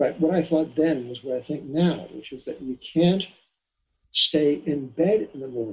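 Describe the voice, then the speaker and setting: The man has an American accent, and his pitch moves in an ordinary way. There is a somewhat breathy quality to his voice. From New York, Long Island. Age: 70s. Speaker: economist and financial editor. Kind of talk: interview. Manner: halting. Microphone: poor sound quality.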